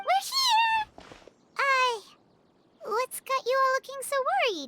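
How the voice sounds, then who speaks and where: Squeaky and extremely high-pitched, this put-on character voice moves at a fairly slow pace. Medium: video game.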